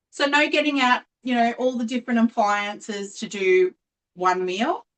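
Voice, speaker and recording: In an Australian accent, a woman speaks with lively intonation and a dry, close sound with no echo. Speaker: cooking appliance sales consultant. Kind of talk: live online cooking demonstration. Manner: chatty, casual.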